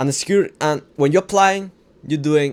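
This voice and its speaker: A man speaks with a strong non-native accent. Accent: non-native English, heavy. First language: not English. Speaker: self-improvement vlogger. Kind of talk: casual motivational talk. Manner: halting, repetitive.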